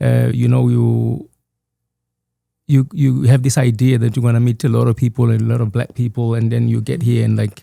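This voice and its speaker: Keeping his loudness very even, a man speaks with a Zulu accent. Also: moderate pace. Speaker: author. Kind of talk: podcast interview. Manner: halting.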